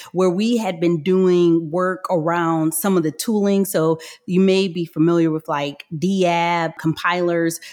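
A woman with an American accent speaks in a plain, everyday voice at a fairly low pitch. Her pace is fairly slow, her intonation fairly even, and she hardly pauses. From Michigan, US. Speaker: software company executive. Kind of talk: interview.

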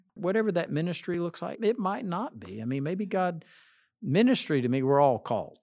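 Over a quiet background, a man talks fairly quickly at a high pitch with very wide pitch swings. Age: 60s. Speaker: associate pastor. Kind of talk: interview.

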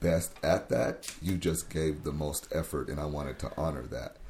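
Here a man speaks at a fairly slow pace with an American accent. His voice is somewhat breathy, with a dark, mellow tone. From US Pacific Northwest, Tacoma, Washington. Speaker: youth worker. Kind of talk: interview. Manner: halting.

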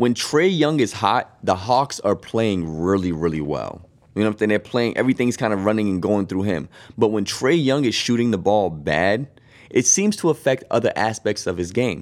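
Speaking in a plain, everyday voice with an American accent, a man uses fairly low pitch and lively intonation at a moderate pace, on a very clean recording with a silent background. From Boston. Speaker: sports podcast co-host. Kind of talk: casual chat.

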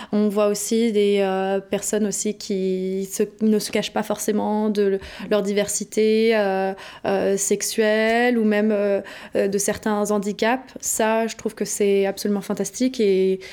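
Her medium-pitched voice has a dark, mellow tone and a monotone, flat intonation at a very slow pace. The woman is recorded very cleanly against a silent background. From France, Paris. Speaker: innovation consultant. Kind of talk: interview. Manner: hesitant, some repetitions.

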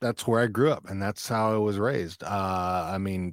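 Recorded very cleanly with a silent background and a dry, close sound with no echo, a man in an unremarkable speaking voice talks at a fairly low pitch and a fairly slow pace. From Texas (Fort Worth, then rural Texas). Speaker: podcaster and army veteran. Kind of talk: casual interview chat. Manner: laughs often, relaxed.

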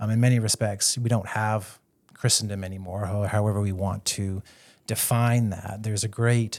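A man with a Canadian accent has a normal speaking voice at medium pitch, keeping a moderate pace. His intonation is fairly even, and the recording is very clean with a silent background. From western Canada (British Columbia, near Vancouver). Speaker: theology professor. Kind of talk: interview.

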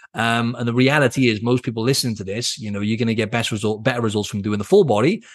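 A man with a British accent talks at a very fast pace in an energetic, animated tone. His pitch varies in an ordinary way over a quiet background. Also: medium pitch for a man. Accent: British accent, drops T sounds. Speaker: fitness coach, podcast host. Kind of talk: solo podcast monologue.

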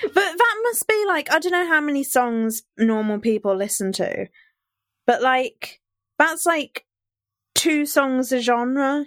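Speaking very slowly, a woman with a high voice moves through very wide pitch swings. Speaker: podcast presenter guest. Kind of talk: storytelling chat.

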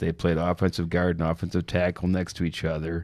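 A man's very deep, low voice, monotone and flat, at a fairly quick pace on a very clean recording with a silent background. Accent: Upper Midwest. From Saint Paul East Side, Minnesota. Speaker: former police officer. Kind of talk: casual chat.

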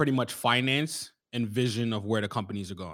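A man with an American accent talks at a fairly quick pace in a normal speaking voice of medium pitch. The recording is very clean, with a silent background. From US Northeast, Bronx, New York. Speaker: entrepreneur and Marine veteran. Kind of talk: casual interview.

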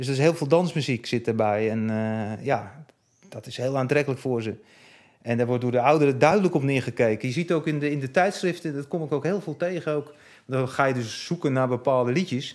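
A man's ordinary speaking voice at a medium pitch, with ordinary pitch variation and a fairly quick pace. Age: 50s. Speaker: music chart historian. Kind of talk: interview.

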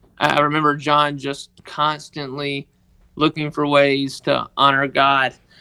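A man speaks in a Southern US accent with a fairly high pitch. His tone is bright and sharp, and his intonation is monotone and flat. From Mississippi, US South. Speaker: guest, sports equipment manager. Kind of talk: interview, personal testimony. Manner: halting, with many fillers.

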